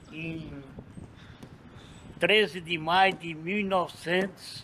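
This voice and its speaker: With big swings in loudness and long, frequent pauses, a man speaks at a high pitch with fairly even intonation. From Brazil, Ceará (Acopiara). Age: 70s. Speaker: street meat vendor. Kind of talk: casual interview.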